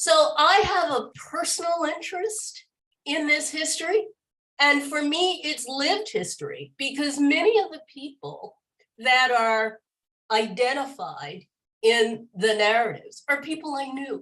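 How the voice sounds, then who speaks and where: A fairly slow, bright and sharp voice in an American accent, with very wide pitch swings and big swings in loudness. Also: woman, high pitch for a woman. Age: 70s. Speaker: church history project leader. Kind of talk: interview.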